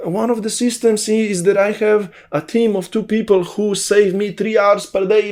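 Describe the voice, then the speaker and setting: With a Slovene accent, a man talks at a moderate pace in a high pitch, his intonation monotone and flat, with hardly any pauses. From Slovenia. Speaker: online business coach. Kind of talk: vlog monologue. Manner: talkative.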